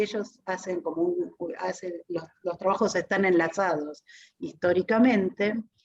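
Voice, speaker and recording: Here a woman talks at a fairly slow pace. Her pitch is medium, with ordinary pitch variation. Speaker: academic presenting a book. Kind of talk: book presentation talk. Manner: hesitant, many fillers.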